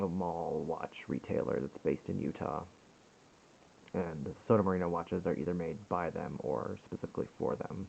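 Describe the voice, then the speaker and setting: A man mumbles in a very deep, low voice with vocal fry. His pace is moderate and his pitch varies in an ordinary way. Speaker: watch reviewer. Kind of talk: casual product review to camera. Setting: home recording on a compact camera, poor sound. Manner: mumbling.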